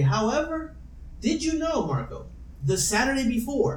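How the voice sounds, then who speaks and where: Speech at a moderate pace over noticeable background noise. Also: man. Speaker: podcast host. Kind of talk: casual chat. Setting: home recording, poor mic pickup.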